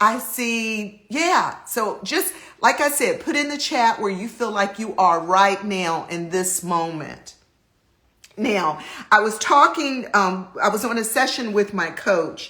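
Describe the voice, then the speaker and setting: A woman with a fairly high pitch speaks at a very slow pace with lively intonation. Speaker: life coach hosting a live stream. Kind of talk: motivational Instagram live talk. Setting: Instagram live video. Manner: animated.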